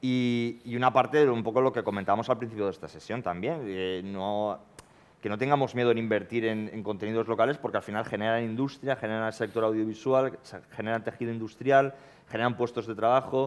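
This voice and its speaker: Fairly even intonation and a fairly quick pace from a man at a medium pitch. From Valencia region, Spain. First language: Valencian/Catalan (speaking Spanish). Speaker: panelist on TV policy debate. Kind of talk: panel debate.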